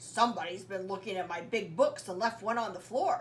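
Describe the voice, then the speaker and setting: A woman puts on a growling character voice at medium pitch and a fairly quick pace. Clear background noise runs behind her. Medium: read story.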